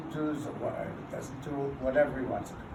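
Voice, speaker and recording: Amid audible room echo, a man with a fairly high pitch speaks at a fairly slow pace. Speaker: neighborhood council president chairing meeting. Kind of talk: heated public meeting debate. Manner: loud.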